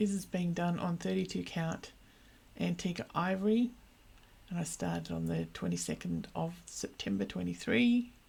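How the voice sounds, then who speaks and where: Moderate-paced speech from a woman with an Australian accent. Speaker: cross stitch vlogger. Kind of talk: casual hobby update vlog.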